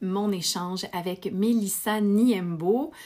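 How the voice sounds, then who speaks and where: A woman's dark, mellow tone at a medium pitch, on a very clean recording with a silent background. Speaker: podcast host. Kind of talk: scripted narration; casual chat.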